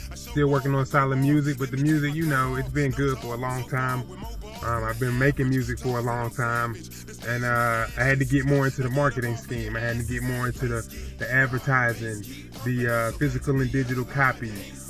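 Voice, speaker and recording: A man speaks at a fairly quick pace in monotone, flat intonation. The sound is dry with no echo, and music plays clearly in the background. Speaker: musician vlogger. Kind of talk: casual vlog chat. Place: car. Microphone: phone near.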